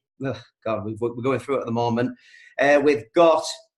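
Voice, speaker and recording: With a Yorkshire accent, a man talks with fairly even intonation. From East Yorkshire, England. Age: 40s. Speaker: milkman and network marketer. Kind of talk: training talk with life story.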